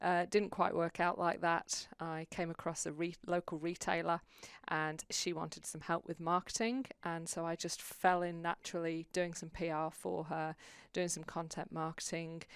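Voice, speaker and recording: In a British accent, the speaker talks at a moderate pace with monotone, flat intonation on a very clean recording with a silent background. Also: woman, fairly low pitch for a woman. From UK. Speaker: publicist, former navy officer. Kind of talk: interview.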